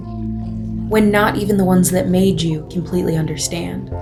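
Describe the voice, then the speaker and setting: Music plays in the background as a woman with an American accent speaks at a moderate pace. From United States. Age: young. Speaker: spoken word performer. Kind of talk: theatrical spoken word protest piece. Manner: passionate, rhythmic, emphatic.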